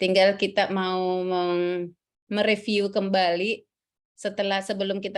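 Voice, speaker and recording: A woman speaks in a flat monotone with a Central Sulawesi accent. The recording is very clean, with a silent background. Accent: Central Sulawesi Indonesian. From South Sulawesi, Indonesia (Bone). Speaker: civil service trainer. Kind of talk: lecture. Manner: halting, many fillers.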